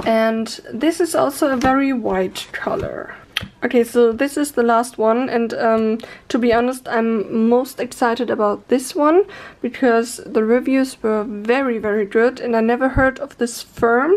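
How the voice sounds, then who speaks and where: A woman with a non-native accent speaks at a fairly slow pace. Her pitch is high, with ordinary variation. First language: not English. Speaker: art youtuber. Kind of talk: product review haul. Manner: casual, hesitant with fillers.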